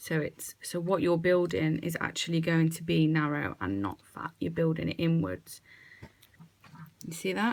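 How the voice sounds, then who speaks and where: A soft-spoken woman talks at a fairly low pitch and moderate pace. Her intonation is lively. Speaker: nail technician. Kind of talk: tutorial.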